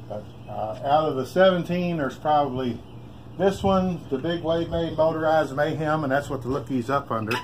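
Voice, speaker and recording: With a Kentucky accent, a man talks at a moderate pace with ordinary pitch variation over noticeable background noise. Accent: Kentucky Southern US. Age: 60s. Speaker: hobbyist bike builder. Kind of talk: casual show-and-tell. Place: garage. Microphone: phone near.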